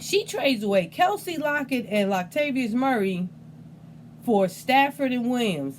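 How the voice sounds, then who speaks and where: Over noticeable background noise, a woman talks fairly slowly in a high voice with an animated tone and very wide pitch swings. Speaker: fantasy football league commissioner / video host. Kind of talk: casual recap video monologue. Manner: stuttering, unedited; animated, casual.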